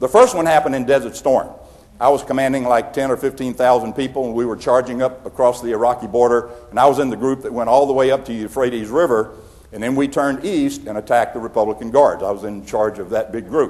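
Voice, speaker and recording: A man with a Southern US accent speaks at a very fast pace and medium pitch. His intonation is fairly even, and there is noticeable background noise. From US South. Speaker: retired general and leadership speaker. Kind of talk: keynote speech.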